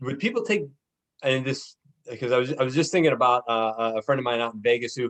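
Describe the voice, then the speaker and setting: With an American accent, a man talks with ordinary pitch variation in a dry, close sound with no echo. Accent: Pittsburgh accent, noticed by outsiders. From western Pennsylvania (Pittsburgh area). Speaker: podcast host, networker. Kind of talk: casual interview. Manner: halting, many repetitions and fillers.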